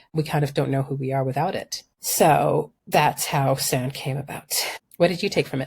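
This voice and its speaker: Somewhat breathy and very deep and low in pitch, a woman talks at a moderate pace with fairly even intonation. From Sudan, childhood also in London and Denmark. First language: Arabic. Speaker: environmental journalist and urban planning scholar. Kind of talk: interview conversation.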